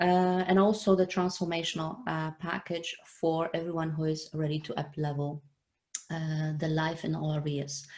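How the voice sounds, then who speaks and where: A woman with a non-native accent, a very deep, low pitch, fairly even intonation and a moderate pace. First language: not English. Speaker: online show host. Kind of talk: live interview. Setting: live video stream. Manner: halting, many fillers.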